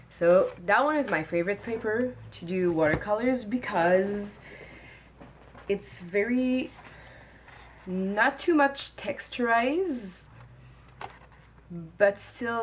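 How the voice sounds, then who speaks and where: Speaking very slowly in a French-Canadian accent, this voice takes long, frequent pauses and swings widely in loudness. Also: woman. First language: not English. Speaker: watercolor artist. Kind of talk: tutorial talk to camera. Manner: hesitant, many filler sounds.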